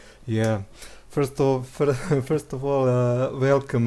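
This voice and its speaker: With a non-native accent, a man speaks fairly slowly in a monotone, flat way with a dark, mellow tone. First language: not English. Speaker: game commentator. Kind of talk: live commentary. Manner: halting.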